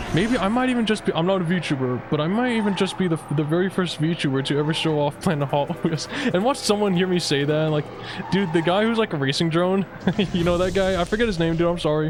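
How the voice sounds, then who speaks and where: A man speaks very fast in a high pitch, with ordinary pitch variation and very even loudness. Music plays in the background. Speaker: gaming streamer. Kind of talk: casual let's play commentary. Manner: animated.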